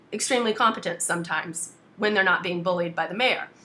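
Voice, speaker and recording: A woman with a British accent, at a medium pitch with ordinary pitch variation. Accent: British accent, says it is genuine. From US South. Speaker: activist. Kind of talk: casual chat. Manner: blunt.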